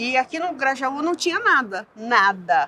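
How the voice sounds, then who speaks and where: A woman is speaking. Her pace is very slow. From São Paulo city outskirts, Brazil (childhood in southern Minas Gerais). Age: 60s. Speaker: community activist. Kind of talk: interview testimony. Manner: halting, with many false starts.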